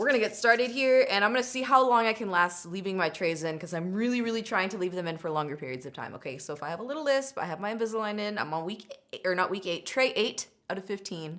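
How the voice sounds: A woman speaks fast with few pauses, her medium-pitched voice fairly bright in tone and lively in intonation.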